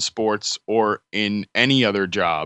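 A man's voice with ordinary pitch variation. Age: 20s. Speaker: fantasy football writer and analyst. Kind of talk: casual interview. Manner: halting, frequent fillers and repetitions.

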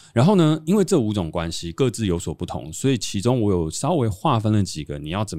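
With a dark, mellow tone and lively intonation, a man speaks at a fairly quick pace on a very clean recording with a silent background. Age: 30s. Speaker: podcast host and entrepreneur. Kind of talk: casual chat.

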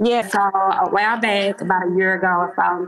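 A woman talks at a fairly quick pace in a medium pitch. There is noticeable background noise behind her. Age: 40s. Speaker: caller seeking dating advice. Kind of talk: casual chat.

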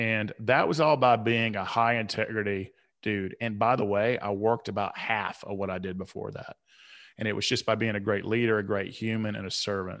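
In a quiet background, a man with an American accent talks at a fairly quick pace with fairly even intonation and a fairly low pitch, in an unremarkable speaking voice. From US South, Atlanta. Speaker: author and men's coach. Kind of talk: podcast interview, personal story.

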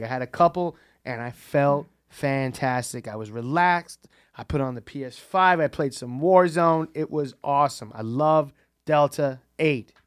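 The recording is very clean, with a silent background. A man with a fairly high pitch talks in an ordinary speaking voice. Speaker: comedian co-host. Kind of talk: casual chat.

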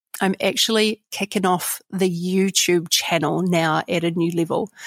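A woman with a New Zealand accent at medium pitch, with ordinary pitch variation and a dry, close sound with no echo. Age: 40s. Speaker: leadership trainer. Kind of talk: casual monologue.

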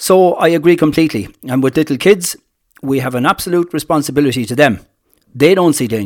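With an Irish accent, a man talks very fast in a fairly high pitch, his intonation lively. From Ireland, County Kilkenny. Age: 60s. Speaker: farmer. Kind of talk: interview. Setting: on location at farm. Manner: hesitant, many fillers.

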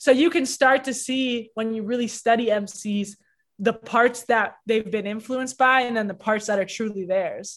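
Against a quiet background, a woman with a Canadian accent uses a normal speaking voice, fairly high in pitch, at a moderate pace with fairly even intonation. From Canada, Toronto. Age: 20s. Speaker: rapper. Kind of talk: interview.

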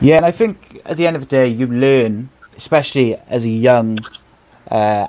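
A man with a Welsh accent talks at a fairly slow pace. Noticeable background noise runs under his voice. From Wales. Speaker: podcast host. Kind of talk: casual chat.

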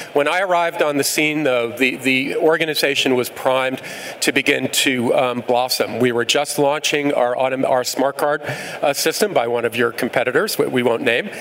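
Speaking with an American accent, a man has a fairly high pitch and ordinary pitch variation, moving at a moderate pace with hardly any pauses. His loudness stays very even, though background noise is noticeable. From New York. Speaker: transit agency CEO. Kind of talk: live panel discussion.

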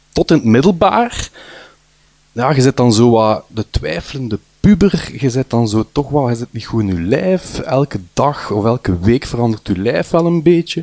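A man with a Flemish accent speaks at a medium pitch and a moderate pace, his pitch swinging very widely. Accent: Flemish Dutch. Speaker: storyteller. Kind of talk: personal testimony. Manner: halting, many fillers.

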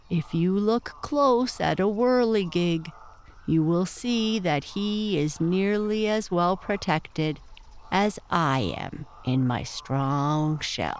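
A put-on character voice at middle pitch and a very slow pace, with clear background noise. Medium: read story. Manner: sleepy, blunt, curt.

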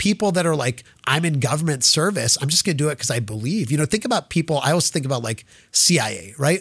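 A somewhat breathy man with fairly high pitch and lively intonation speaks at a very fast pace, recorded dry and close with no echo against a very clean, silent background. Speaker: tech company CEO. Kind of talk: interview. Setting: in-person studio at VC office. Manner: fast talker; high energy.

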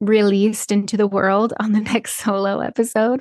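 Recorded with a dry, close sound and no echo, a woman of medium pitch talks at a fairly slow pace. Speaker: podcast host. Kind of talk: scripted intro; casual chat.

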